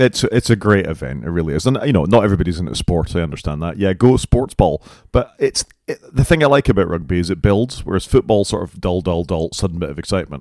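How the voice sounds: Speaking fast with lively intonation, a man has a low pitch and a slightly mellow tone.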